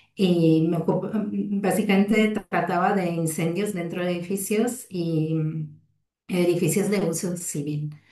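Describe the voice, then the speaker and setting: A woman speaks at a fairly slow pace in an Italian accent, her fairly low, somewhat breathy voice dark and mellow in tone with fairly even intonation. Audible room echo surrounds her. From Italy. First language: Italian (speaking Spanish). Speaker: fire safety researcher and lecturer. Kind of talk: lecture. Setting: video call webinar. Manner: hesitant, many fillers.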